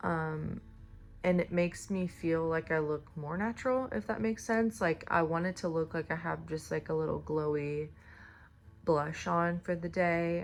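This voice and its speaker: Music plays in the background as a woman with a fairly low pitch and ordinary pitch variation speaks at a moderate pace. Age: 30s. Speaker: beauty vlogger. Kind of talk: makeup tutorial chat. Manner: casual, filler-heavy.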